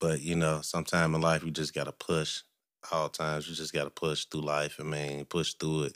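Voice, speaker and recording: In a very clean recording with a silent background, a man talks with an American accent. His very deep, low voice is monotone and flat, and his pace is fairly quick. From Cincinnati, Ohio, US. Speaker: barber and sound engineer. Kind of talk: casual chat. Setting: home studio.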